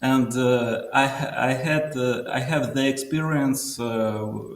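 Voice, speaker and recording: Amid noticeable background noise, a man with a Russian accent speaks very slowly at a medium pitch with ordinary pitch variation. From southern Russia. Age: 30s. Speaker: caller. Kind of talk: call-in interview. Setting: call from workplace. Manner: halting.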